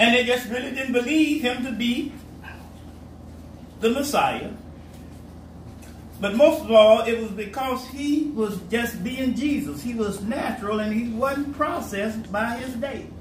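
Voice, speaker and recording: A man with an extremely high pitch speaks at a fairly slow pace with ordinary pitch variation, taking long, frequent pauses amid audible room echo. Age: 70s. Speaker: pastor. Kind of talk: sermon.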